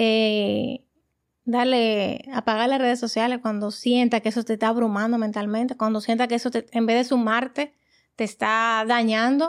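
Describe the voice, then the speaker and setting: A woman speaks at a moderate pace in a fairly high, flat, monotone voice with very even loudness. The recording is very clean, with a silent background. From Dominican Republic. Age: 40s. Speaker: guest, emigrant mother. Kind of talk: casual chat.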